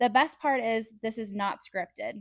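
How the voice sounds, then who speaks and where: A woman with a West Coast accent speaks at a moderate pace with ordinary pitch variation. The recording is very clean, with a silent background. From California, San Diego. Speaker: podcast host. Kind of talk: casual monologue, partly read from notes. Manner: animated.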